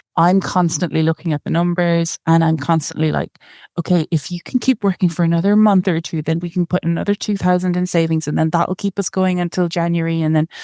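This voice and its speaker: Over a quiet background, a woman with an Irish accent talks very fast with hardly any pauses, her fairly low pitch carrying a dark, mellow tone and a monotone, flat intonation. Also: dry, close sound with no echo. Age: 30s. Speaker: coaching guest, wife. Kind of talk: personal finance coaching conversation.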